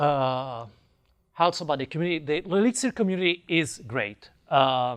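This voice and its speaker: In an Italian accent, a man with a fairly high pitch speaks at a moderate pace with lively intonation. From Italy. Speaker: software developer, conference speaker. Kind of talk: conference talk. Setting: stage with audience, wireless mic.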